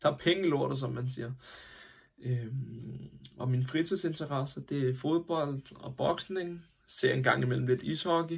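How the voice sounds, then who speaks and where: This man speaks at a fairly slow pace in a medium pitch. His voice is somewhat breathy, with ordinary pitch variation. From Denmark, Copenhagen area (Hvidovre). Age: 20s. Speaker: aspiring actor, sewage truck worker. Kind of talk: self-tape introduction. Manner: hesitant, many filler sounds.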